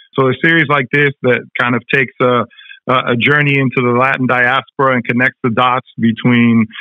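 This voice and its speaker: A man talks at a moderate pace and medium pitch. His loudness stays very even and his intonation is monotone and flat. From Argentina. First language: Spanish. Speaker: TV director and journalist. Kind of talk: interview. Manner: many fillers and repetitions.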